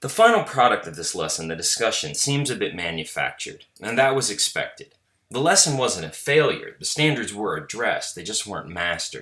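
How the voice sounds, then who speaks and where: Big swings in loudness run through a man's speech at a fairly quick pace with hardly any pauses. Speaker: teacher. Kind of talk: reflective narration. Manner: formal.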